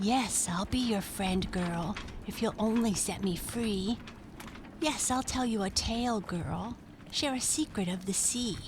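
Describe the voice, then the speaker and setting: Over clear background noise, a put-on character voice that sounds female is pitched at a medium level for a woman. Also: fairly slow pace. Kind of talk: bedtime story. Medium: read story. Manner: rhyming, sing-song.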